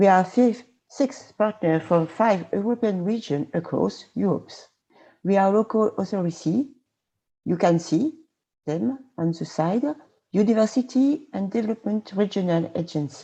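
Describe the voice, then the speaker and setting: A woman with a French accent talks at a moderate pace with lively intonation and a medium pitch. Her tone is dark and mellow, and the background is quiet. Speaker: regional politician. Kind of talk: presentation.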